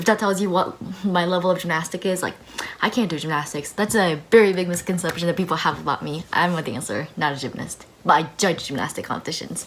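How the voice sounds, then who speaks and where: Over noticeable background noise, a woman speaks very fast in a fairly low pitch with ordinary pitch variation. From Japan, then Australia and US. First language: Japanese. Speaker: personal finance vlogger. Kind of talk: casual chat. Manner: animated.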